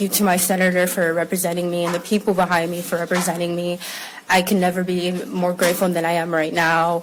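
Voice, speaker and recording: With noticeable background noise behind her, a woman speaks in an American accent. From US Midwest (Minnesota and Columbus, Ohio), Somali family. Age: 20s. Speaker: activist speaking about ICE detention. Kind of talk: testimony. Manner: halting, many fillers.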